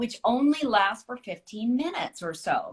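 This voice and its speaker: A woman speaks at a fairly high pitch in a somewhat breathy voice. Her pitch swings very widely. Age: 60s. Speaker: author. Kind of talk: casual chat.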